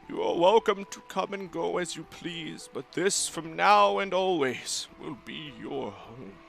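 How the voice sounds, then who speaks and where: Over clear music in the background, a man performs a put-on character voice at a high pitch and a fairly slow pace, with big swings in loudness. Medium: actual play. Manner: formal, ceremonious.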